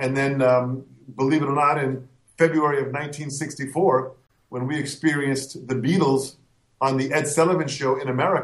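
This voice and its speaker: Here a man speaks at a fairly quick pace. His voice is somewhat breathy and fairly high-pitched. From US, Italian-American household. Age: 50s. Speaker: drum educator and clinician. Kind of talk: interview. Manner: animated.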